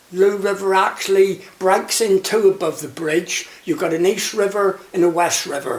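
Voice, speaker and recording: A man with a Cornish accent talks in a high pitch at a moderate pace, with ordinary pitch variation and noticeable background noise behind him. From Cornwall, Looe. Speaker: retired fisherman and shark angling skipper. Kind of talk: oral history interview. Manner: halting.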